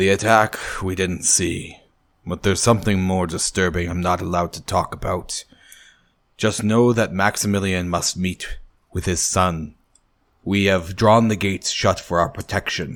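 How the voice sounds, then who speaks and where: A man puts on a raspy character voice at a very deep, low pitch. He keeps a moderate pace with fairly even intonation. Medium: actual play.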